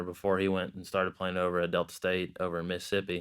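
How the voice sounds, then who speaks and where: Fairly quickly, a man with a very deep, low voice speaks in a Southern US accent. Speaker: college football player. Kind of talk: interview. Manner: halting.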